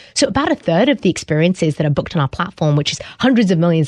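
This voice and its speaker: Someone with a British accent speaks at a very fast pace, their pitch swinging very widely. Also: woman, dry, close sound with no echo. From UK. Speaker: startup founder. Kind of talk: interview conversation.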